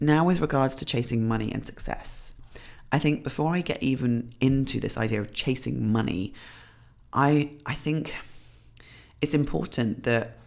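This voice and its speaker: With a British accent and some vocal fry, a woman speaks at a moderate pace using ordinary pitch variation. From UK. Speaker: podcast host, fitness coach. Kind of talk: solo podcast monologue. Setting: home.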